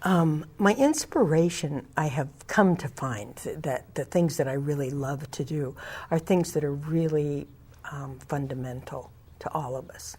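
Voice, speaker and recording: Dark, mellow, somewhat breathy voice in an American accent, with ordinary pitch variation and big swings in loudness, on a very clean recording with a silent background. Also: woman, very deep, low pitch for a woman. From California Central Valley, Tulare County. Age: 60s. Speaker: community organizer. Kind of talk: interview. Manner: halting.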